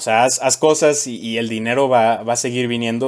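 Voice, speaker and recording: The man's intonation stays monotone and flat. His voice sits at a medium pitch. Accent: central Mexican. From Mexico, Querétaro. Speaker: chemical engineer at a safety consulting firm. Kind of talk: casual chat.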